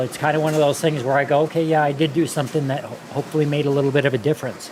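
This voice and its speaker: There is noticeable background noise behind a man whose voice sits at a fairly high pitch. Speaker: event host, slot car racer. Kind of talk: casual chat. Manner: halting.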